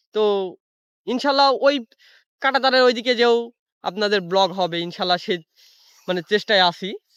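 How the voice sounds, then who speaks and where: A man's lively intonation in a dry, close sound with no echo. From Bangladesh. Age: 20s. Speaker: travel vlogger. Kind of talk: vlog narration. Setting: outdoors. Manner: halting, many filler words.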